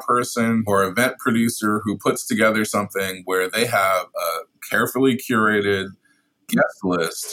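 A man speaks with a New York accent. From US Northeast, Brooklyn. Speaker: food photographer. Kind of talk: casual chat.

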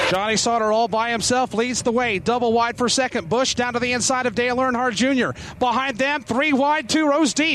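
A man speaks at a fairly quick clip with hardly any pauses, his voice extremely high-pitched, his loudness very even and his intonation fairly even, over noticeable background noise. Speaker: turn announcer. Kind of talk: live race call. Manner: rapid, urgent, vivid play-by-play.

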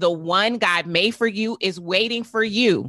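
A woman speaks at a fairly slow pace with lively intonation and an animated tone. Her pitch is medium, and her tone is bright and sharp. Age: 40s. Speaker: business coach and entrepreneur. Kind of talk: interview.

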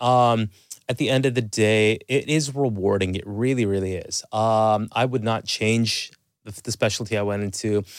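On a very clean recording with a silent background, a man with a Canadian accent and a normal speaking voice talks at a moderate pace and medium pitch with fairly even intonation. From Canada, Toronto. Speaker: family and sleep medicine doctor. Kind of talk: interview.

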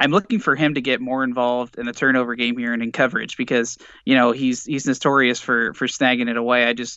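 Using a monotone, flat intonation, a man with an American accent speaks at a very fast pace. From Indiana, US Midwest. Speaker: sports podcaster. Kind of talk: casual chat.

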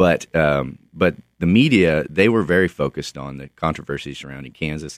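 A man's very deep, low voice with an American accent, vocal fry, ordinary pitch variation and a moderate pace, in a dry, close sound with no echo. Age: 30s. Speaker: author. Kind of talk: radio interview. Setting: studio.

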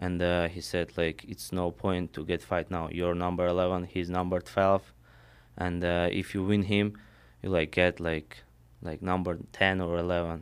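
On a very clean recording with a silent background, a man with a Russian accent speaks at a moderate pace in a very deep, low pitch with flat, monotone intonation. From Armenia/Russia. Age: 20s. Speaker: mixed martial arts fighter. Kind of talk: interview. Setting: studio. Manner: halting.

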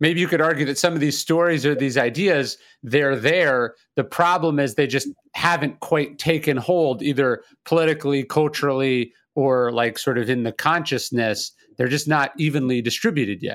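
A man with an American accent and an ordinary speaking voice talks at a moderate pace and fairly high pitch, with ordinary pitch variation, in a very clean recording over a silent background. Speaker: podcast host. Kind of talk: interview.

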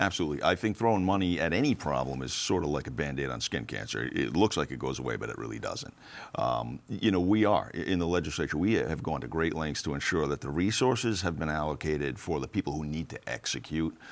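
Talking at a very fast pace with hardly any pauses, a man uses lively intonation in a very deep, low voice with vocal fry. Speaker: legislator. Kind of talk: panel discussion.

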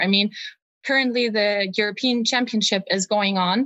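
A woman's fairly high voice with a German accent. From Germany. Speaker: history research assistant. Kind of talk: interview.

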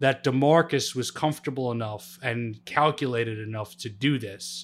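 Using an ordinary speaking voice at medium pitch, a man talks at a moderate pace with ordinary pitch variation and big swings in loudness. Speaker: guest co-host, sports podcaster. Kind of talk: casual sports talk. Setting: video call.

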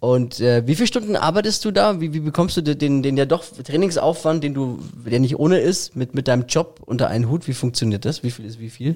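Talking at a fairly quick pace with hardly any pauses, a man uses a fairly high pitch. His intonation is lively. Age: 40s. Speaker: radio host, podcast host. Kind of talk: casual interview. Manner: animated.

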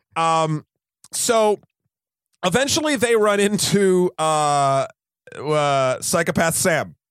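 A man with an American accent and a high pitch talks at a very slow pace, his intonation lively, his loudness very even and his pauses long and frequent. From US, New Hampshire. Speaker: podcast co-host, film reviewer. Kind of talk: casual chat.

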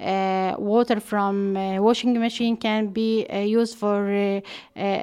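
A woman with an Arabic accent speaks at a fairly slow pace in a medium-pitched voice, her intonation monotone and flat. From Palestine, West Bank. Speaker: water and gender expert. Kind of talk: interview. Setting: at home. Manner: halting.

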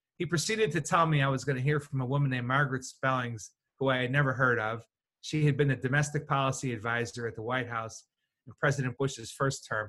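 This man has a Chicago accent and a bright, sharp tone at medium pitch. He talks at a very fast pace with ordinary pitch variation. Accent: Chicago American. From Chicago southwest side, US. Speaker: communications consultant. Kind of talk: interview.

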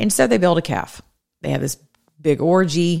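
A woman talks at a moderate pace. Her tone is animated. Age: 50s. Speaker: political talk show host. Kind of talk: political commentary monologue.

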